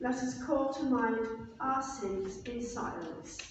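Strong room echo and light background noise accompany a woman speaking at a high pitch. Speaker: minister leading the service. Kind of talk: liturgical reading. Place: church. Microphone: camera far.

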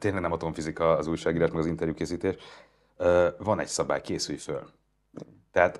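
With vocal fry running through it, a man's voice sits at a very deep, low pitch. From Hungary. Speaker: journalist, interviewer. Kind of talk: interview conversation. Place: studio.

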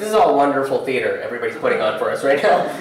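The speech is very fast, with lively intonation. Clear background noise and strong room echo surround it. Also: man, medium pitch for a man.

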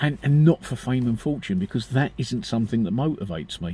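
A man speaks with a British accent at a fairly quick pace. His voice is somewhat breathy, with lively intonation. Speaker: vlogger. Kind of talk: casual monologue. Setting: outdoors, parked car area. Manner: halting.

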